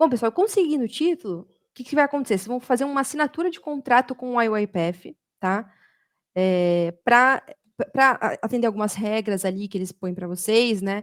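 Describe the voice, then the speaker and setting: An animated woman speaks with a fairly high pitch and very wide pitch swings, taking long, frequent pauses. The sound is dry and close, with no echo. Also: very clean recording, silent background. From Brazil, São Paulo state. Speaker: automation developer and community speaker. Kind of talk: community talk presentation. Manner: fast.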